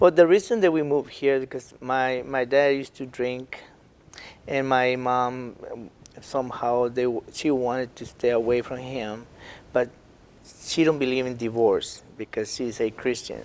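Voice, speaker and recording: A man with a Spanish accent at medium pitch and a moderate pace, fairly even in intonation but with big swings in loudness. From Mexico. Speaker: artist and entertainer. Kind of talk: interview. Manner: halting.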